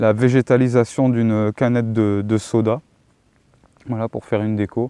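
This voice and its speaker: In a dry, close recording with no echo, a man speaks in a fairly low pitch and a dark, mellow tone with monotone, flat intonation. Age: 40s. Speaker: self-employed metalworker and YouTuber. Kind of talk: casual testimony answering questions. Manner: hesitant, many filler sounds.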